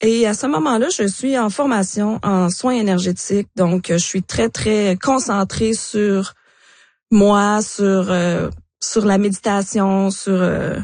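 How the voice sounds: A woman speaks at a slow pace. Her intonation stays fairly even. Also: medium pitch for a woman, slightly mellow tone.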